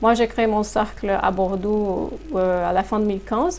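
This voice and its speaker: In a Portuguese accent, a woman speaks at a fairly high pitch with fairly even intonation. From Brazil. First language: Portuguese (speaking French). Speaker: human resources consultant. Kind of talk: interview. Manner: hesitant, many fillers.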